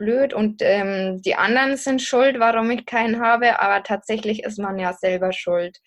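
Over a quiet background, a woman speaks at a fairly high pitch and a moderate pace. She has a plain, everyday voice. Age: 20s. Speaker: podcaster and singles coach. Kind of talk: interview conversation.

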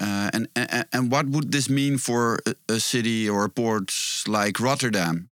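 On a very clean recording with a silent background, a man speaks fairly slowly at a medium pitch in a bright, sharp tone with ordinary pitch variation. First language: Dutch. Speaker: podcast co-host. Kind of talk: interview. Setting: studio. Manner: halting.

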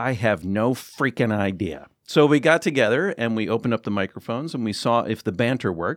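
A man with an American accent and a normal speaking voice at medium pitch, lively intonation, a fairly quick pace and hardly any pauses, on a very clean recording with a silent background. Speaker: former public radio journalist, podcaster. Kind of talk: casual chat. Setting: studio.

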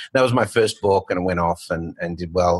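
Ordinary pitch variation in a dry, close sound with no echo. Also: man. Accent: Australian. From Australia. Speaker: fintech founder and author. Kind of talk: casual interview chat.

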